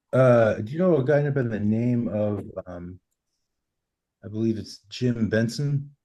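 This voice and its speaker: Pausing long and often, a man with a Boston accent speaks at a fairly slow pace in a dark, mellow tone, with ordinary pitch variation and big swings in loudness. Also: medium pitch for a man. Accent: Boston American. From US, Boston. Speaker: workshop participant. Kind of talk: casual chat.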